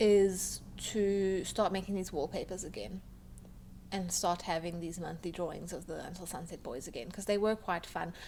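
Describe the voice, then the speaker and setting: A woman talks with ordinary pitch variation, and audible room echo fills the space. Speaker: webcomic artist. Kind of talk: casual talk over a speedpaint. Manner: slow, halting with many ums and pauses; slow.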